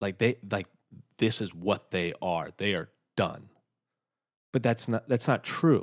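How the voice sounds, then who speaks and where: Speaking at a moderate pace, a man with an American accent uses a fairly low pitch and ordinary pitch variation. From US South. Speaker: opera singer. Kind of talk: casual chat. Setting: studio.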